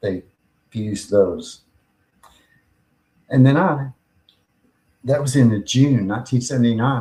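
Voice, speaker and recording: This man has an American accent and a somewhat breathy voice. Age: 60s. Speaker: podcast host and pain patient. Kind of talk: personal testimony.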